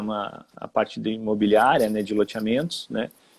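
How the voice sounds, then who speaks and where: A man at a moderate pace with a Rio Grande do Sul accent. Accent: gaúcho (Rio Grande do Sul) Portuguese. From Rio Grande do Sul, southern Brazil. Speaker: HR manager. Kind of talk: live-stream interview. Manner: hesitant, with repetitions.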